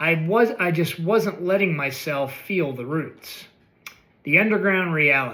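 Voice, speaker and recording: Here a man speaks at a high pitch with a bright, sharp tone. His intonation is lively. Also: fairly slow pace. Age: 60s. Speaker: essay writer reading own work. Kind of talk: reading aloud. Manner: reflective, measured.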